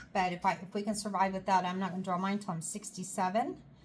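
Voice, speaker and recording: This woman has a somewhat breathy voice pitched in the medium range. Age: 50s. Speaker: homesteader. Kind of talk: casual vlog talk. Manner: casual, chatty.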